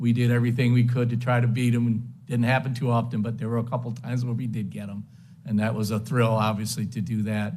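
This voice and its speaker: A man speaks fairly quickly with an American accent and medium pitch. His voice is somewhat breathy, with audible room echo. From Western New York (Lakewood). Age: 70s. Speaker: hall of fame inductee, former runner and coach. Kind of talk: acceptance speech. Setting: banquet hall with audience. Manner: halting, many fillers.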